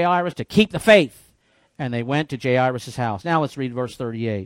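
A man with an ordinary speaking voice, a fairly quick pace and lively intonation, on a very clean recording with a silent background and a dry, close sound with no echo. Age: 50s. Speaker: pastor. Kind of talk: sermon.

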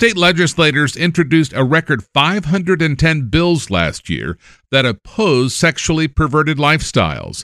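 A man speaks at a fairly high pitch in a bright, sharp tone with ordinary pitch variation. He keeps a fairly slow pace on a very clean recording with a silent background. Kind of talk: formal news reading, scripted newscast delivery. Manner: formal; steady, brisk, and even-toned.

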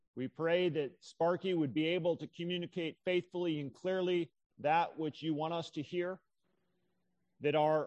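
Against a quiet background, a man with a plain, everyday voice and fairly high pitch talks at a moderate pace. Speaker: church leader. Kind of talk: scripture reading and prayer. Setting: church.

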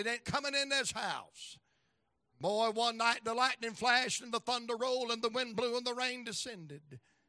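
A man speaks in an extremely high, bright and sharp voice, raised and projected. His pace is fairly quick, and the sound is dry and close with no echo. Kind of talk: revival sermon. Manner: animated, exclamatory pulpit delivery with call-and-response; folksy and jokey, mixing humor and anecdotes with exhortation.

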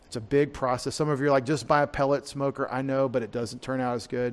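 On a very clean recording with a silent background, a man speaks with an East Texas accent. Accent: East Texas Southern US. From US South. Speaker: pastor. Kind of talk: sermon. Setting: church.

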